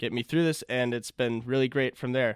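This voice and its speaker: This man has a medium-pitched voice. The sound is dry and close with no echo, on a very clean recording with a silent background. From US Midwest, Minnesota. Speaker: exchange student. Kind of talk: casual interview.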